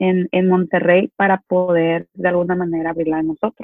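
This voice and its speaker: In an ordinary speaking voice, a woman of medium pitch talks at a moderate pace. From Mexico, Culiacán (Sinaloa). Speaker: business owner. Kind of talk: interview.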